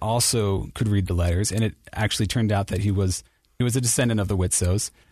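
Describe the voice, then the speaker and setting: A man with an American accent speaks in a normal speaking voice, pitched fairly low. His intonation is fairly even, and the background is quiet. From Ohio, Cincinnati. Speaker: church history editor. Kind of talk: interview.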